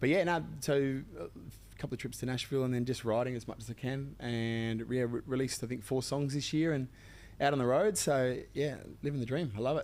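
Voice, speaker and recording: In an Australian accent, a man with a medium pitch talks at a fairly quick pace with ordinary pitch variation. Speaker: country singer-songwriter. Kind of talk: casual chat. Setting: studio. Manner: casual, many fillers.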